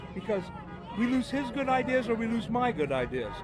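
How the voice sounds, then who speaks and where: A man speaks at a moderate pace, his pitch extremely high. Music plays in the background. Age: 70s. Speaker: protester interviewed on street. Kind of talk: street interview.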